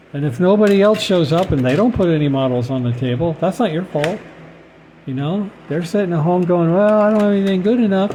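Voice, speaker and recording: Fairly quick and lively in intonation, a man speaks at a high pitch. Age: 60s. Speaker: scale model car hobbyist vlogger. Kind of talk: casual monologue. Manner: halting, many fillers and repeats.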